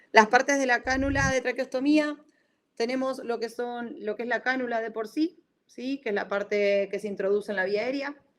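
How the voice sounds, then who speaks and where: A woman talks at a moderate pace with an Argentine accent. Her pitch is high, and it varies in an ordinary way. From Argentina. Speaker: respiratory physiotherapist. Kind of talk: lecture. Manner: halting, many self-corrections.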